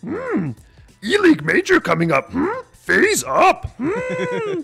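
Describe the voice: Over music in the background, a man in a croaky, put-on character voice speaks at an extremely high pitch and a fairly slow pace.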